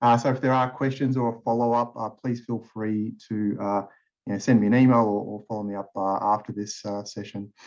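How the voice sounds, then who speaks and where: Over a quiet background, a man with an Australian accent speaks at a fairly quick pace in a medium-pitched, flat monotone. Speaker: tax partner. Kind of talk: webinar presentation.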